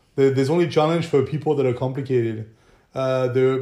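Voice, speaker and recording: A man with a French accent, a dark, mellow tone, fairly even intonation and a moderate pace. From southern France. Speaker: film production company owner. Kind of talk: casual chat.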